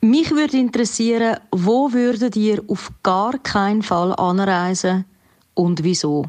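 A woman speaks very slowly with a Zurich accent, her pitch in the middle range. Her loudness stays very even while her intonation is lively. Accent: Zurich Swiss German dialect. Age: 20s. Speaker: musician, slam poet and cabaret artist. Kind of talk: recorded voice message.

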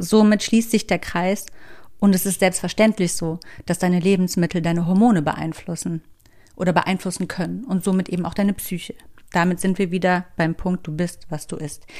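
Recorded very cleanly against a silent background, a woman speaks at a moderate pace with fairly even intonation. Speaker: podcast host. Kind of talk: motivational monologue. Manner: casual.

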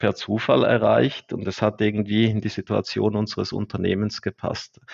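A man talks at a moderate pace in a fairly low pitch, with vocal fry. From eastern Switzerland. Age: 30s. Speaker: accountant and company director. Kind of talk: casual interview.

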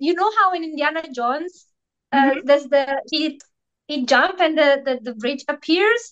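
A woman with an Italian accent talks at a moderate pace in a high voice with lively intonation. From Italy. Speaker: Instagram coach and energy healer. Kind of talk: casual interview.

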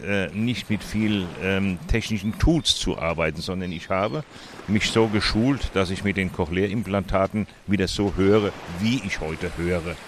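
Against noticeable background noise, a man talks at a fairly low pitch and a moderate pace with ordinary pitch variation. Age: 70s. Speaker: cochlear implant user and volunteer advocate. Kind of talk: interview. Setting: outdoors at a public hearing event. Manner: halting.

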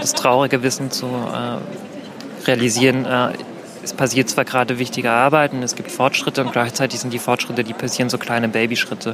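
A man with a medium-pitched voice speaks at a fairly quick pace. His intonation is monotone and flat, over noticeable background noise. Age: 20s. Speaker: queer health counselor. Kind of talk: one-on-one conversation at a public event.

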